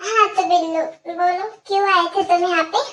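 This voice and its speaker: In a put-on character voice, a female-sounding speaker talks at a moderate pace, her voice squeaky and extremely high-pitched. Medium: fan dub. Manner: sweet, bashful.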